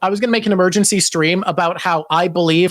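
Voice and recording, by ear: Someone reads aloud in a natural voice.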